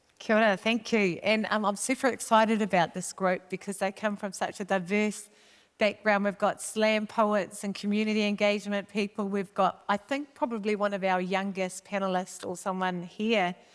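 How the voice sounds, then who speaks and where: A woman's medium-pitched voice in a New Zealand accent, monotone and flat at a moderate pace, in a very clean recording with a silent background. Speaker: panel facilitator. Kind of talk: panel moderation. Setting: stage with audience.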